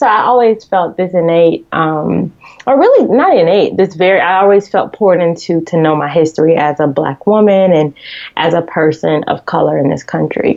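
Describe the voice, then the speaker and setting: A woman speaks with an American accent at a fairly low pitch. Her pitch varies in an ordinary way and her loudness stays very even. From US South, Decatur, Georgia (Atlanta). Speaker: magazine editor and entrepreneur. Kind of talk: interview. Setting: podcast. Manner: fast, chatty with many fillers.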